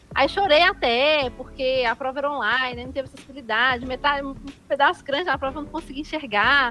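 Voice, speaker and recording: Music plays in the background as a woman speaks in a raised, projected voice. Her pace is fairly quick. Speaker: activist with low vision. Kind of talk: interview. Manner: casual, colloquial.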